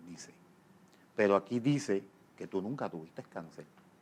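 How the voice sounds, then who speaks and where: Here a man speaks at a moderate pace in a fairly low pitch. His pitch varies an ordinary amount. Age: 60s. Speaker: pastor. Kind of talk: interview testimony.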